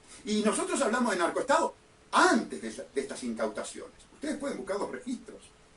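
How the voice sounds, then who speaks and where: A man with a Uruguayan accent at a fairly quick pace, over noticeable background noise. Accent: Uruguayan Rioplatense Spanish. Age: 60s. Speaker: lawyer and political candidate hosting a radio show. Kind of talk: political radio monologue. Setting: radio broadcast streamed on social media. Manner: impassioned, emphatic.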